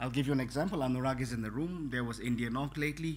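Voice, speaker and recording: A man with a non-native accent speaks at a very fast pace, his voice somewhat breathy. Audible echo fills the room. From Bhutan. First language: not English. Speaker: network technology trainer. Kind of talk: conference talk. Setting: conference room with audience. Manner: halting, many fillers.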